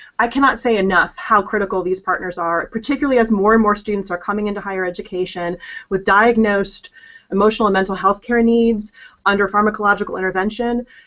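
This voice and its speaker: Delivered at a very fast pace, the speech keeps fairly even intonation. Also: woman, medium pitch for a woman. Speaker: higher education expert. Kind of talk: interview.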